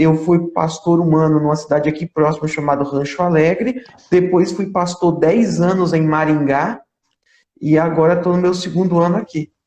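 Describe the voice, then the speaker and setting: Speaking in an Alagoas accent, a man holds a high pitch and fairly even intonation at a moderate pace. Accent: northeastern Brazilian (Alagoas). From Brazil, Alagoas (Maceió). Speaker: pastor. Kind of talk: interview.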